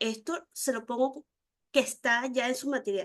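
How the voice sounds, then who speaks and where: This is a woman speaking. Her pitch is high. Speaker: university lecturer. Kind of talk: online lecture.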